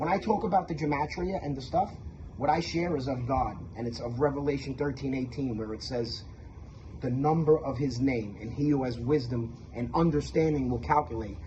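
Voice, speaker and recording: With a Brooklyn accent, the speaker goes at a moderate pace with ordinary pitch variation and audible room echo. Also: man, medium pitch for a man. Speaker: religious video maker. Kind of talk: testimony. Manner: animated.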